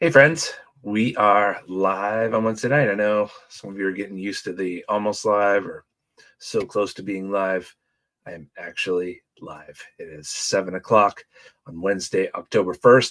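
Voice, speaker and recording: A man's plain, everyday voice, fairly low in pitch, with ordinary pitch variation, big swings in loudness and a moderate pace. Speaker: church small group leader. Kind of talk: casual livestream talk. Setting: livestream.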